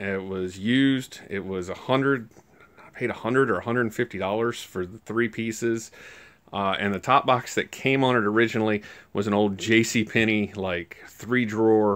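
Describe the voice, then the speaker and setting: Against a quiet background, a man speaks at a moderate pace with a fairly low pitch and fairly even intonation. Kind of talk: casual vlog chat. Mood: relaxed, chatty. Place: garage. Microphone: phone near.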